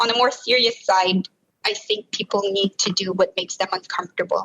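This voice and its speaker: A woman at medium pitch, speaking at a fairly quick pace. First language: French. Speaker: produce industry professional. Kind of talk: podcast interview.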